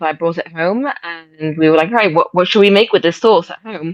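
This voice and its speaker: This woman talks at a fairly quick pace with an English accent. Her pitch is fairly low for a woman and varies in an ordinary way. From England. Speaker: shop owner. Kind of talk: interview. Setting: video call.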